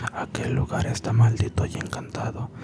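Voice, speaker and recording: Whispering comes at a very slow pace, with noticeable background noise in the recording. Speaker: ASMR creator. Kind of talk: whispered story reading. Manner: whispered.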